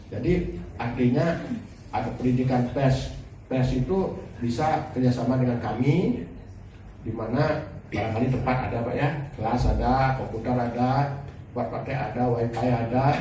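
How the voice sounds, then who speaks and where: There is noticeable background noise and audible room echo. A man speaks at a medium pitch and moderate pace with fairly even intonation. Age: 60s. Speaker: university foundation chairman. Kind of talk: press conference remarks. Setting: press conference with media.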